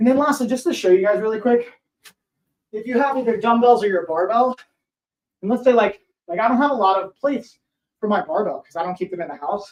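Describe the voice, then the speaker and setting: Loud and energetic in tone, a man with a high pitch talks at a very fast pace, broken by long, frequent pauses. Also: ordinary pitch variation. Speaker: fitness coach. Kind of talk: live workout tutorial. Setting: home live stream.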